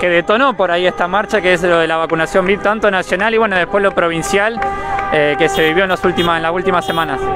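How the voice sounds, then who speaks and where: Over music in the background, a man with a high pitch talks at a very fast pace in a raised, projected voice, keeping his loudness very even. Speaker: street reporter. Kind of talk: live field report and interview. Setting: outdoors at a street march with car horns.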